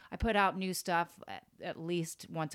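At a moderate pace, a woman with an American accent speaks on a very clean recording with a silent background. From Florida (Tampa). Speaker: vintage store owner. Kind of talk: casual interview.

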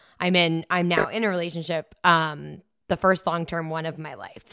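A woman with a fairly low pitch speaks at a fairly quick pace in an ordinary speaking voice. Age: 30s. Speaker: podcast host. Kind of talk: casual chat.

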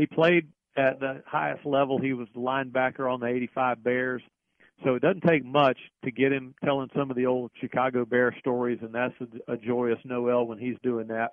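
A man talks at a moderate pace in an ordinary speaking voice. His medium pitch is paired with fairly even intonation. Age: 60s. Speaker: NFL radio play-by-play announcer. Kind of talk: casual interview.

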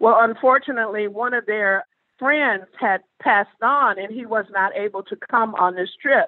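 A woman's fairly high voice with ordinary pitch variation at a moderate pace. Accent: Southern US. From US South, Mississippi. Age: 60s. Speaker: haunted property ambassador. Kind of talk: interview storytelling.

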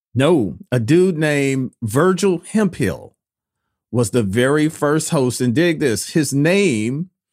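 On a very clean recording with a silent background, a man speaks at a fairly slow pace. His intonation is lively. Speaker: interviewer. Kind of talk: casual interview chat.

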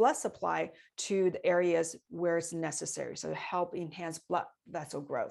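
A woman speaks with a Chinese accent against a quiet background. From China. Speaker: stem cell specialist. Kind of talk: interview on health science. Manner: halting, with repetitions.

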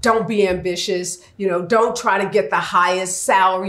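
A woman with an American accent speaks at a moderate pace with fairly even intonation and medium pitch, over noticeable background noise. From US Midwest, St. Louis north side. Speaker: attorney and advocate. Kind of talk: interview conversation.

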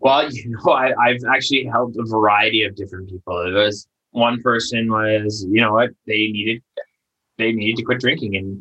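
Speaking at a fairly quick pace with a Canadian accent, a man uses a medium pitch, a bright, sharp tone and fairly even intonation. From Canada. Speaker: addiction recovery coach. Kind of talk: interview.

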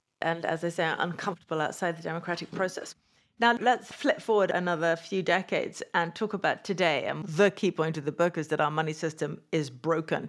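On a very clean recording with a silent background, a woman with a British accent speaks fairly quickly at a fairly low pitch, with ordinary pitch variation. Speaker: finance podcast host and columnist.

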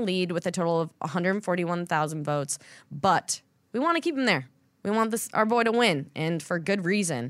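A woman with a normal speaking voice and lively intonation, in a very clean recording with a silent background. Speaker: podcast host and team sideline reporter. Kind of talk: casual podcast hosting and interview. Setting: studio.

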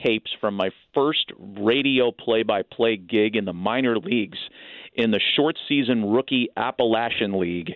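An American accent marks this man's unremarkable speaking voice. He talks at a moderate pace with lively intonation. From Northern California, East Bay. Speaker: baseball broadcaster. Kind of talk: radio interview.

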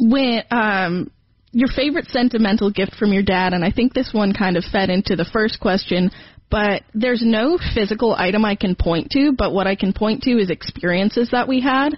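A somewhat breathy woman's voice at a fairly high pitch, with ordinary pitch variation and very even loudness. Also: moderate pace. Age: 20s. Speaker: college student, host's daughter. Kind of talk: casual chat.

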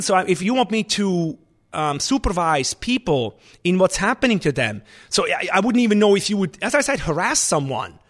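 In a Swiss German accent, a man's high voice makes very wide pitch swings over a quiet background. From Switzerland. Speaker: chef and restaurant owner. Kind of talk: interview.

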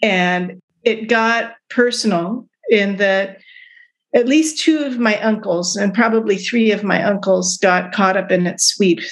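A woman with an American accent uses a normal speaking voice at a medium pitch, with ordinary pitch variation. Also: fairly slow pace. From US West Coast, Oakland and Berkeley, California. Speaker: psychiatrist and anthropology professor. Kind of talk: interview.

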